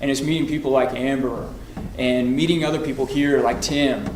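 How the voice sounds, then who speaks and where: Audible room echo and noticeable background noise surround a man who speaks fairly quickly in an American accent. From Oklahoma. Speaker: political candidate. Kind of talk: political debate.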